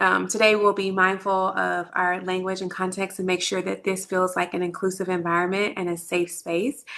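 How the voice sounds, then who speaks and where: With a Texan accent, a woman talks at medium pitch. Her tone is bright and sharp. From Texas, Dallas area. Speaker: lactation consultant. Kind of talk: online workshop presentation.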